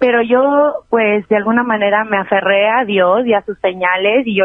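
Talking at a moderate pace, a woman uses a plain, everyday voice of medium pitch with fairly even intonation. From Mexico City. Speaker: regional Mexican singer. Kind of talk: casual interview chat.

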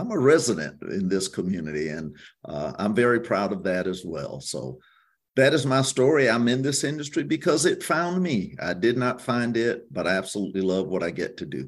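Man with a South Carolina accent, medium pitch, vocal fry and very wide pitch swings, at a moderate pace against a quiet background. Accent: South Carolina Southern. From US South, Hampton County, South Carolina. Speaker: tourism bureau executive. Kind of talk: interview.

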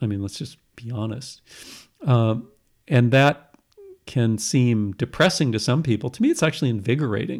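A man speaks in a normal speaking voice at a moderate pace, his medium pitch showing ordinary variation. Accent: American. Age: 60s. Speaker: retired professor. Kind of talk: interview.

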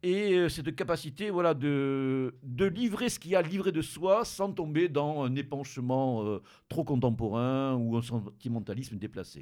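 The speech moves at a fairly slow pace with lively intonation. The recording is very clean, with a silent background. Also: man, fairly high pitch for a man. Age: 50s. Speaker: radio host. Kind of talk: casual chat. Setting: studio. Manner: halting.

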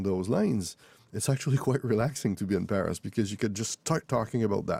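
This man speaks with a Quebec accent in a dark, mellow tone at medium pitch, with ordinary pitch variation. The recording is very clean with a silent background and a dry, close sound with no echo. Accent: Québécois French-accented English. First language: French. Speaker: author. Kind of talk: interview. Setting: studio.

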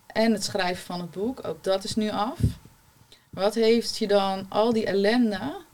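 Against noticeable background noise, a woman speaks at a fairly slow pace, her medium pitch showing ordinary variation. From Rotterdam-Zuid, Netherlands. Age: 30s. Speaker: holistic therapist. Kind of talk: panel discussion.

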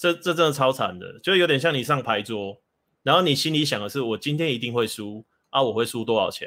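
At a fairly quick pace, a man speaks with lively intonation and a bright, sharp tone. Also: very clean recording, silent background. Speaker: bookstore owner and dating commentator. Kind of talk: casual chat.

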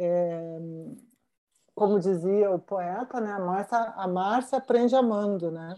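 A woman's medium-pitched voice, dark and mellow, at a very slow pace with ordinary pitch variation and long, frequent pauses. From southern Brazil (Rio Grande do Sul). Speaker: fashion journalist and writer. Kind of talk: casual interview chat.

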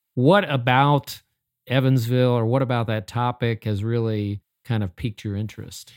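Speaking at a moderate pace with fairly even intonation, a man has an ordinary speaking voice, recorded dry and close with no echo. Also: medium pitch for a man, very clean recording, silent background. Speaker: podcast host. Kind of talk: interview conversation.

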